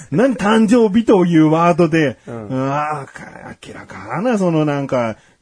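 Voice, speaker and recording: The voice swings very widely in pitch over noticeable background noise. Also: man. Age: 30s. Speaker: podcast co-host. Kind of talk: casual chat. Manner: animated.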